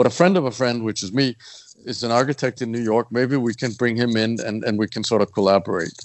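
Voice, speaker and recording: A man rattles off his words very fast at a medium pitch. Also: ordinary pitch variation. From Copenhagen, Denmark. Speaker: architect. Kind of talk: casual interview.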